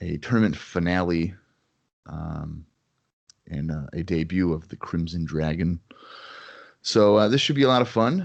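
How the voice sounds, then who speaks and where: This man talks at a moderate pace with a very deep, low pitch. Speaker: wrestling podcast co-host. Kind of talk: casual podcast chat.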